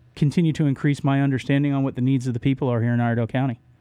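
A man with an American accent speaks at a medium pitch in a monotone, flat intonation. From Florida, Orlando. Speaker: political candidate. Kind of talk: radio interview. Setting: radio studio.

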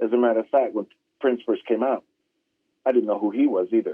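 With ordinary pitch variation, this man's voice stays at a medium pitch. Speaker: musician. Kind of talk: casual interview chat. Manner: animated, laid-back.

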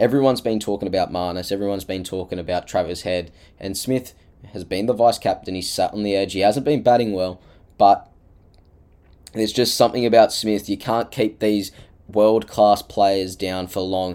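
Speaking with an Australian accent, the voice has a dark, mellow tone and fairly even intonation at a moderate pace. The recording is very clean, with a silent background. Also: man, fairly low pitch for a man. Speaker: sports podcaster. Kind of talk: solo monologue preview.

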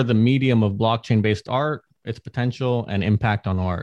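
A man of medium pitch, with a normal speaking voice and ordinary pitch variation, is heard in a dry, close sound with no echo against a quiet background. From United States. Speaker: artist and NFT project founder. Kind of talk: podcast interview, presentation.

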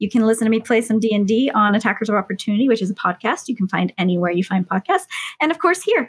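A woman talks very fast at a fairly high pitch, somewhat breathy, with lively intonation and very even loudness. The sound is dry and close, with no echo. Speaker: motion capture performer. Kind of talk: tabletop roleplaying game play.

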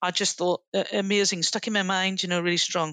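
Her voice at medium pitch, a woman with a Northern Irish accent is heard in a dry, close sound with no echo. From Northern Ireland. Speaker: leadership trainer, former army officer. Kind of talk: interview.

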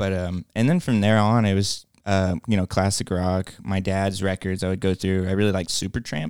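In a very deep, low pitch, a man speaks with hardly any pauses, with a dry, close sound with no echo on a very clean recording with a silent background. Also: fairly even intonation, moderate pace. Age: 20s. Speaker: indie band musician. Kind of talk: casual chat.

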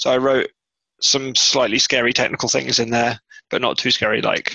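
A man at medium pitch, monotone with flat intonation, in dry, close sound with no echo. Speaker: podcast host. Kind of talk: casual chat.

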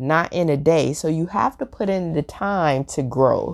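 Fairly slow delivery comes from a woman. The background is silent on this very clean recording. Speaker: podcast host and leadership mentor. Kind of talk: solo podcast talk.

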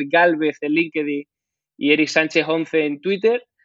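This man has an ordinary speaking voice, pitched fairly high. He talks at a fairly slow pace with fairly even intonation. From Andalusia, Huelva. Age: 30s. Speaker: blockchain real estate startup founder. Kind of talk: casual interview.

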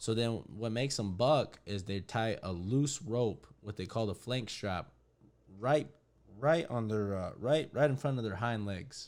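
With an American accent and a plain, everyday voice, a man talks at a fairly slow pace and medium pitch with ordinary pitch variation, on a very clean recording with a silent background. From Arizona, Winkelman. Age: 20s. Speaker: podcast guest, friend of host. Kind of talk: casual chat.

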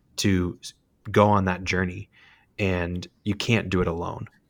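Heard in a very clean recording with a silent background, a man speaks at a fairly slow pace. He has an unremarkable speaking voice with a fairly low pitch. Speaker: podcast host. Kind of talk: casual chat.

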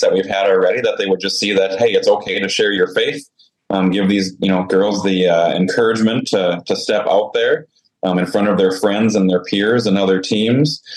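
Using an unremarkable speaking voice, a man talks at a fairly quick pace with ordinary pitch variation. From Saskatchewan, Canada. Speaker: volleyball ministry founder. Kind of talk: interview.

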